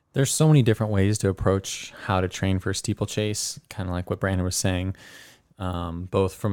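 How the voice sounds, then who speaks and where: A man with a fairly low pitch speaks at a moderate pace in an ordinary speaking voice, his intonation fairly even, on a very clean recording with a silent background. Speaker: runner. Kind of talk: casual chat. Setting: studio.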